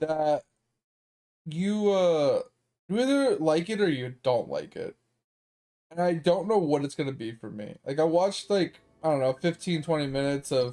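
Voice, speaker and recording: With music in the background, a man speaks loudly at a moderate pace in a fairly high voice, using lively intonation and long, frequent pauses. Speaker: gaming streamer. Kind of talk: live stream commentary. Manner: animated.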